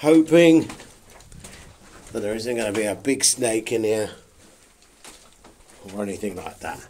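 The man's pitch varies in an ordinary way as he talks at a moderate pace. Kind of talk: casual vlog commentary. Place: tunnel cave. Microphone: phone near.

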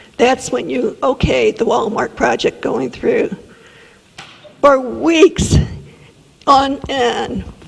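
Speaking at a very slow pace with long, frequent pauses, a woman with an American accent is heard over noticeable background noise. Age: 70s. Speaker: resident speaking at public comment. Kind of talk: public comment. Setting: city council meeting. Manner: animated.

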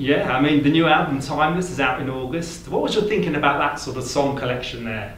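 Over light background noise and audible room echo, a man with a fairly high pitch talks at a very fast pace with hardly any pauses. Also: ordinary pitch variation. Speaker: interviewer. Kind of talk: interview. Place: home room.

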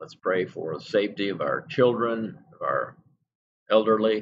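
A man talks at a very slow pace with light background noise behind him. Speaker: pastor. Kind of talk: prayer gathering: scripture reading, then fervent spoken prayer. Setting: church service streamed online. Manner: earnest, pleading, heartfelt. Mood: reverent, earnest. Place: home room. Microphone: webcam.

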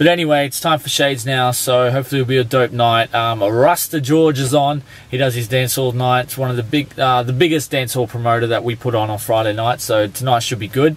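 A man talks at a fairly quick pace with hardly any pauses. His intonation is fairly even, and the sound is dry with no echo. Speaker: vlogger. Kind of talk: casual vlog chat. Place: car. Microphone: phone near.

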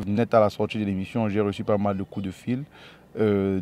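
A man's fairly low voice with a dark, mellow tone, fairly even intonation, and a dry sound with no echo. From Cameroon, Yaoundé; Cameroon. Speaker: entrepreneur; interviewee. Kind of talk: interview.

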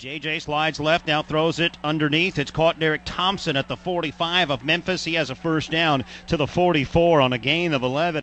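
In an unremarkable speaking voice, a man speaks at a moderate pace with hardly any pauses, a fairly high pitch and fairly even intonation. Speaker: sports commentator. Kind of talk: live sports commentary, game highlights.

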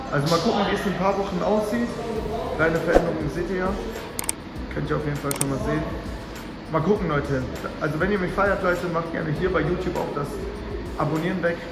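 With music playing in the background, a man talks at a very fast pace. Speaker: vlogger. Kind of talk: casual vlog chat. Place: gym.

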